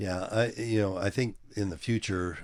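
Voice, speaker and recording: A man speaks with fairly even intonation in a very clean recording with a silent background. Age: 70s. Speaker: fitness company CEO and powerlifter. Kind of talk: casual interview. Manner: halting, many fillers.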